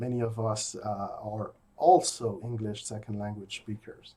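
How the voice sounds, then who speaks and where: Somewhat breathy and unhurried, a man talks at a fairly slow pace with a slight French Canadian accent. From rural Quebec. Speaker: philosophy professor. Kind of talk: recorded lecture. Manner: hesitant, many fillers.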